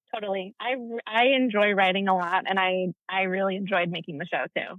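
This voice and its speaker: A woman's medium-pitched voice at a fairly quick pace, with ordinary pitch variation and a plain, everyday voice. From Texas. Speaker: actress and voice teacher. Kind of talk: casual interview.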